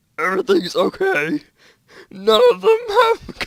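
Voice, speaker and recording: A man puts on a character voice at a high pitch. He talks at a fairly slow pace. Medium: read story. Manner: quiet, halting.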